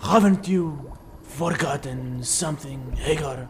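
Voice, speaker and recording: Over clear background noise, a man puts on a raspy character voice, fairly high in pitch and fairly slow in pace. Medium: short film. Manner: imperious, shouting.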